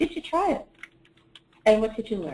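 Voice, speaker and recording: A woman speaks with a Canadian accent. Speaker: webinar presenter. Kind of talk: software tutorial webinar. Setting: online webinar broadcast.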